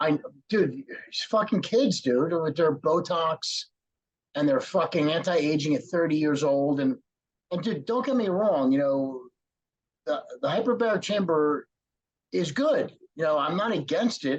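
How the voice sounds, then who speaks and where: Pausing long and often, a man with a high voice and lively intonation speaks at a fairly slow pace. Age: 50s. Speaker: former pro bodybuilder, podcast host. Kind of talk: casual chat.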